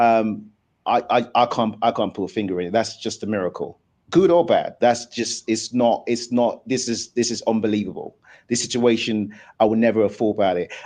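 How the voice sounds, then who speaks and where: Against a quiet background, a man with a normal speaking voice talks at a moderate pace, his medium pitch carried in fairly even intonation. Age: 40s. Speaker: debate show host. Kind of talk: live debate discussion.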